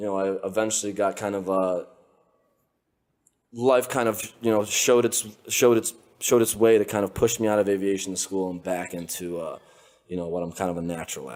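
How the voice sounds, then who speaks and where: An animated voice moves at a fairly quick pace with ordinary pitch variation and long, frequent pauses. The recording is very clean, with a silent background. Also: man, fairly low pitch for a man. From Lithuania, raised in the United States from age six. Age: 20s. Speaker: entrepreneur, social media trend starter. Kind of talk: casual interview conversation. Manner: animated, casual with many fillers.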